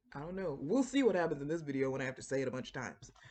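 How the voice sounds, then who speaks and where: A woman with an American accent. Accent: Floridian, somewhat suppressed. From Florida. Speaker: writer and book vlogger. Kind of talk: casual talk to camera. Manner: conversational with many fillers.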